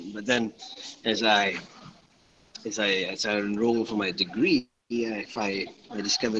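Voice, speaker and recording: A man with a Malaysian accent speaks at medium pitch and a moderate pace. Noticeable background noise runs beneath his voice. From Johor, Malaysia. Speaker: part-time English teacher. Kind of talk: casual chat.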